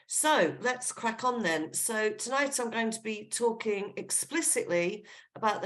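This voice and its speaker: A woman with an English accent, lively intonation and a moderate pace, with audible room echo. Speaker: genealogy speaker. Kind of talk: online lecture. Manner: casual, with fillers.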